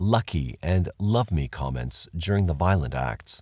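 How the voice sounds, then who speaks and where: Somewhat breathy and dark, mellow in tone, a man's voice sounds dry and close with no echo in a very clean recording with a silent background. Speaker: true-crime narrator. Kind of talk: true-crime documentary narration. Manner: even and factual, newsreader-like.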